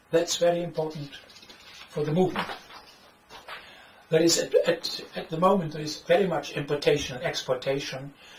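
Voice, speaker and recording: Clear background noise and audible room reverberation surround this man's voice. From Netherlands. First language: Dutch. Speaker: author and economics critic. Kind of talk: lecture. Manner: halting.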